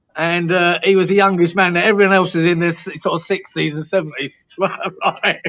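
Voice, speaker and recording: With a London accent, a man speaks in a high pitch and a monotone, flat intonation, leaving hardly any pauses. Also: moderate pace. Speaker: football fan panelist. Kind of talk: casual chat.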